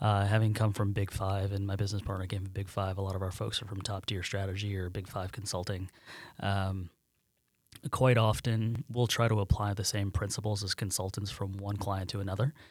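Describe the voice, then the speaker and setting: The speaker has an American accent and a somewhat breathy voice, talking at a fairly quick pace. Intonation is monotone and flat, on a very clean recording with a silent background. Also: man, fairly low pitch for a man. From central New York, near Syracuse. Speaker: management consultant and company co-founder. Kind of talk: casual interview.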